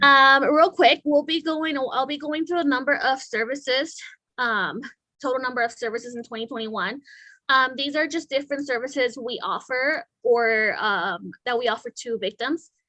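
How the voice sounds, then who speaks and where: Against a quiet background, a bright, sharp tone carries in a raised, projected voice with ordinary pitch variation. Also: woman, high pitch for a woman, moderate pace. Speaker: victim advocate. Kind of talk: presentation to city council. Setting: city council meeting. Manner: hesitant, many fillers.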